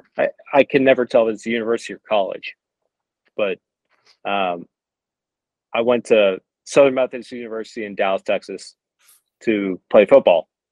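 A man with an American accent, big swings in loudness and long, frequent pauses, in a dry, close sound with no echo. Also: moderate pace. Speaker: football club director. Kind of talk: casual interview answers.

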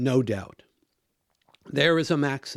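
Recorded very cleanly against a silent background, a man with an American accent speaks at a very slow pace. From US, Washington state. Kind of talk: monologue commentary.

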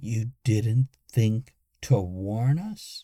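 A man's put-on, growling character voice at a medium pitch. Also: ordinary pitch variation. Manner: growling, annoyed.

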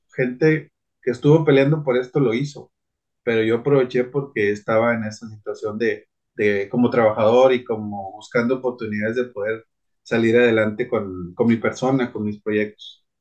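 Speaking at a moderate pace, the man keeps a medium pitch and fairly even intonation. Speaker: retired adapted sports promoter, former Paralympic athlete. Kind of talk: interview conversation. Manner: hesitant with filler words.

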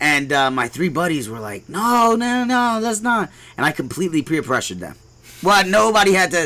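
At a moderate pace, a man with a high pitch and a bright, sharp tone makes very wide pitch swings on a very clean recording with a silent background. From New York City (Brooklyn), Puerto Rican American. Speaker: hemp farm owner. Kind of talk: casual interview.

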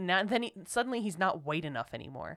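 A woman with a Philadelphia accent talks at a medium pitch with very wide pitch swings. The recording is very clean, with a silent background. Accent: Philadelphia American English. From Philadelphia, US. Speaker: podcast co-host. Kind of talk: casual chat. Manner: emotional, impassioned.

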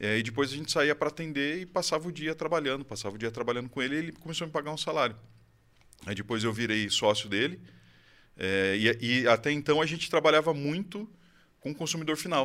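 On a very clean recording with a silent background, a man talks at a very fast pace. His tone is bright and sharp, his pitch fairly high, and his intonation lively. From Brazil, Campinas (São Paulo state). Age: 30s. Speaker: IT services business owner. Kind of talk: interview, casual chat.

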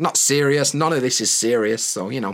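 A man speaks with a Yorkshire accent at a fairly high pitch. The recording is very clean, with a silent background. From Yorkshire, northern England. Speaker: podcast host and English teacher. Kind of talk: scripted-style educational monologue. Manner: friendly, conversational, clear.

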